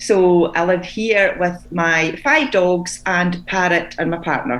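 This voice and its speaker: Speaking very slowly in a fairly low voice, a woman with a Scottish accent comes through noticeable background noise and audible room echo. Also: ordinary pitch variation. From Scotland, Fife. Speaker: children's book author. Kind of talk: interview. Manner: hesitant, with filler sounds.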